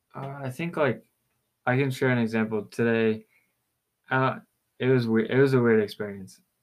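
A man with an American accent speaks at a moderate pace with medium pitch. His intonation is fairly even, and he takes long, frequent pauses. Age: 20s. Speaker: podcast co-host. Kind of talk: casual chat.

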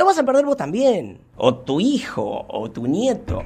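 In an Argentine accent, a man speaks with vocal fry and very wide pitch swings. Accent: Rioplatense Argentine Spanish. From Buenos Aires, Argentina (Munro). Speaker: paleontology technician. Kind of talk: casual interview.

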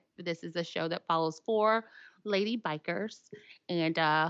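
With a Tennessee accent, a woman speaks at a fairly low pitch and ordinary pitch variation. The recording is dry and close with no echo and a quiet background. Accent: Southern US (Tennessee). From Tennessee, Williamson County. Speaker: motorcycle apparel business owner. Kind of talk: casual interview chat.

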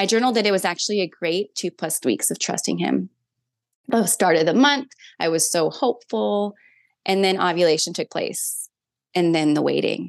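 A woman with an American accent uses vocal fry and very wide pitch swings. The sound is dry and close with no echo, over a quiet background. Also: fairly low pitch for a woman, moderate pace. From Minnesota. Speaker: mother sharing faith testimony. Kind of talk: personal testimony in interview.

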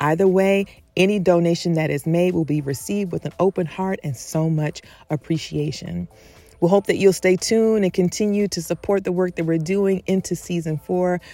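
Over music in the background, a woman with a fairly low pitch speaks at a moderate pace and with fairly even intonation, the sound dry and close with no echo. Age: 50s. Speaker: podcast host. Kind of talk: casual chat.

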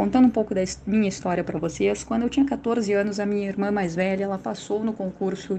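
Speaking fairly quickly in a southern Brazilian accent, a woman has a medium pitch, a dark, mellow tone and fairly even intonation. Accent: gaúcho. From Rio Grande do Sul, southern Brazil. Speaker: public prosecutor. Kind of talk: interview. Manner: halting, with fillers.

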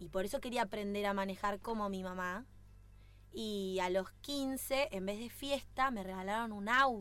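A woman speaks with a plain, everyday voice. Her pitch is fairly high and her pace fairly slow. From Bariloche, Argentina. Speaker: racing driver. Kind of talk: casual interview.

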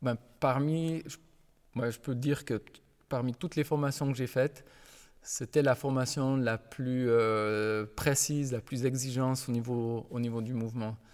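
A man's medium-pitched talk, with fairly even intonation, is captured in a very clean recording against a silent background. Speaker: physical education teacher. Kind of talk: interview. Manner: halting, with repetitions.

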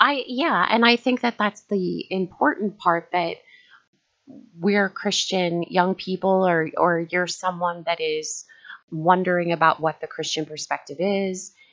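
A woman at medium pitch with ordinary pitch variation, speaking at a fairly slow pace over background music. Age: 40s. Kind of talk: casual discussion.

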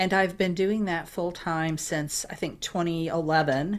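The speaker has a normal speaking voice and moves at a moderate pace. The recording is very clean, with a silent background. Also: woman. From Florida (St. Petersburg). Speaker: career coach. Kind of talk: interview conversation.

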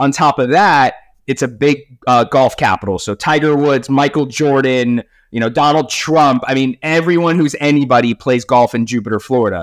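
An unremarkable speaking voice from a man, medium in pitch with ordinary pitch variation, at a moderate pace on a very clean recording with a silent background. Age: 30s. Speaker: podcast host and life coach. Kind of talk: casual interview chat.

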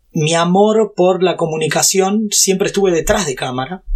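Delivered at a moderate pace with a Rioplatense accent, the speech has fairly even intonation. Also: man. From Brazil and Argentina. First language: Portuguese (speaking Spanish). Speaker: YouTuber and tech entrepreneur. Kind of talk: interview.

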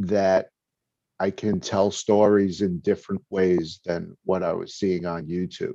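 A man with a New York accent, fairly low in pitch and dark, mellow in tone, at a very slow pace with fairly even intonation, over a quiet background. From New York (Brooklyn). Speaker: video content creator. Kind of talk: casual chat.

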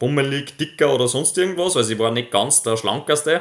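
A man is speaking. His pace is fairly quick. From Upper Austria, near Linz. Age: 20s. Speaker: professional mountain biker. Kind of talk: interview. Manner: halting, many repetitions.

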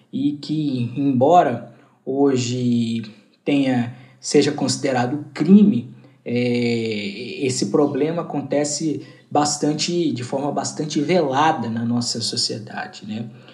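A man's medium-pitched voice, dark and mellow in tone, with a very slow pace, ordinary pitch variation and audible room echo. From Goiânia, Brazil. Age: 20s. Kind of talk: interview answer.

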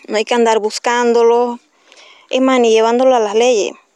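Recorded with a dry, close sound with no echo, a woman speaks at a fairly high pitch in a monotone, flat intonation. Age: 30s. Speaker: single mother. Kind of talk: testimony.

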